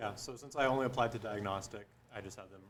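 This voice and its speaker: Speaking very fast, a man with an American accent keeps his intonation fairly even. The delivery is quick throughout. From Upstate New York. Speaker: medical student matched into radiology. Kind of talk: panel discussion.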